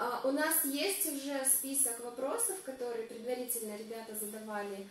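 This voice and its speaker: Audible room echo and light background noise surround a woman's voice. She talks at a moderate pace with ordinary pitch variation. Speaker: vlogger hosting a live stream. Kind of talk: casual live-stream chat. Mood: cheerful, laughing. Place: bathroom.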